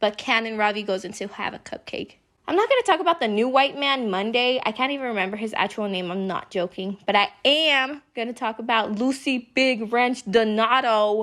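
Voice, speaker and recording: An animated woman's voice at a moderate pace, with ordinary pitch variation. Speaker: youtuber. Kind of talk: casual commentary vlog. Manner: animated, yelling.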